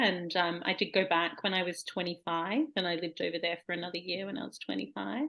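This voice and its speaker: Speaking with an Australian accent at a moderate pace, a woman uses a medium pitch with vocal fry. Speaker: poet. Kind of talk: casual chat.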